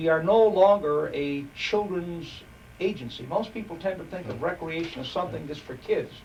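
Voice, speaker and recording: A man with a high-pitched voice and ordinary pitch variation swings widely in loudness, with noticeable background noise and audible room echo. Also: moderate pace. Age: 60s. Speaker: park board commissioner. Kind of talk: interview. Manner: halting.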